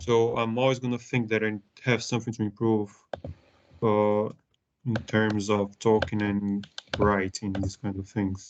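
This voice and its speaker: At a fairly slow pace and with long, frequent pauses, a man with a non-native accent speaks in a fairly low pitch with monotone, flat intonation. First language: not English. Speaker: trainee manager. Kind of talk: one-to-one training session.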